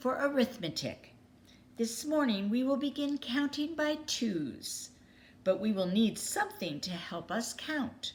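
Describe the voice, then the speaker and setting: A quiet, put-on character voice moves at a fairly slow pace with very wide pitch swings. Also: woman, high pitch for a woman. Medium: read story. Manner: quiet, calm.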